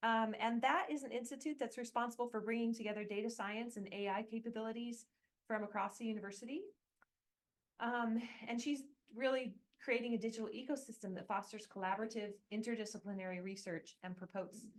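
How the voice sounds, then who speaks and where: A woman with an American accent, fairly high pitch, ordinary pitch variation and a fairly quick pace, an ordinary speaking voice. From United States. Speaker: academic, seminar moderator. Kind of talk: event introduction.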